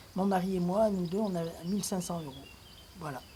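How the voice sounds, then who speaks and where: Noticeable background noise sits behind a woman speaking at a moderate pace. The room echo is audible. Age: 60s. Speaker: retiree. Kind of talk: personal video rant. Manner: animated.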